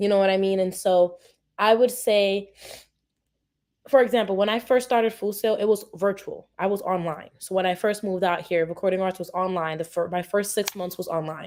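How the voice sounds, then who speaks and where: A normal speaking voice from a woman with an American accent, medium in pitch, fairly quick, with fairly even intonation, on a very clean recording with a silent background. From Brooklyn, New York. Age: 20s. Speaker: media communication student. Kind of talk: interview answer.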